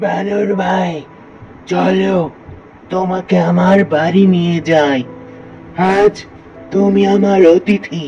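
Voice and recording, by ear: A man's high-pitched, cartoonish character voice at a very slow pace with fairly even intonation, clear music in the background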